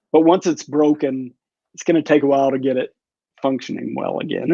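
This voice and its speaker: Using an ordinary speaking voice, a man talks at a fairly quick pace and a fairly high pitch. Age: 60s. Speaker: physician. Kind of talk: interview.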